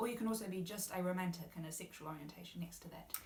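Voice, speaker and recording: Audible room echo surrounds a woman with a New Zealand accent, speaking at a medium pitch with ordinary pitch variation. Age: 20s. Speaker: university student, guest speaker. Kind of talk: interview.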